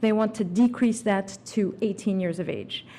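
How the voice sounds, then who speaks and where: Speaking at a moderate pace, a woman has a somewhat breathy voice with fairly high pitch. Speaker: immigration lawyer. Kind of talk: conference talk.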